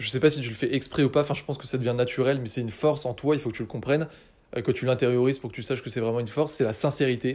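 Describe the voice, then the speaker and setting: Very fast and animated in tone, a man talks at a medium pitch on a very clean recording with a silent background. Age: 20s. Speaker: copywriting podcaster answering listener voice messages. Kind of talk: casual monologue replying to listener messages.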